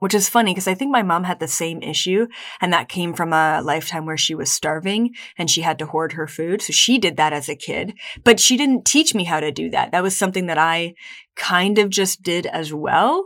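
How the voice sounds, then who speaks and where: A woman with a plain, everyday voice speaks at a fairly low pitch and a fairly quick pace, with ordinary pitch variation. The recording is very clean, with a silent background. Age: 20s. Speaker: spiritual podcast host. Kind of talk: solo podcast monologue.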